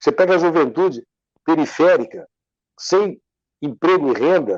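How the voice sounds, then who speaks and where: A man's high-pitched voice at a moderate pace, lively in intonation, against a quiet background. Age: 60s. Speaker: civil engineer and lawyer, interview guest. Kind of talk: interview, discussion. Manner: animated, emphatic.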